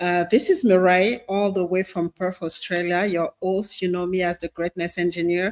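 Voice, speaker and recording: Speaking with a French accent in a monotone, flat intonation, the voice keeps a moderate pace with hardly any pauses, in a dry, close sound with no echo. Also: woman, medium pitch for a woman. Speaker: podcast host. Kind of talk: show introduction. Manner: halting, many fillers and repetitions.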